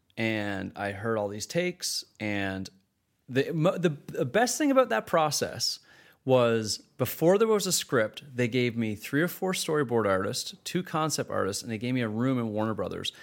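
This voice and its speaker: A man with an unremarkable speaking voice, medium pitch and lively intonation, at a moderate pace on a very clean recording with a silent background. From Canada. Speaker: film director. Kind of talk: casual interview.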